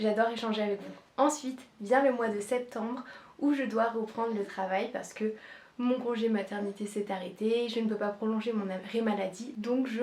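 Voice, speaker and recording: The voice moves at a moderate pace with fairly even intonation over noticeable background noise. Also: woman. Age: 20s. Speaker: nurse and content creator. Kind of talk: casual vlog introduction.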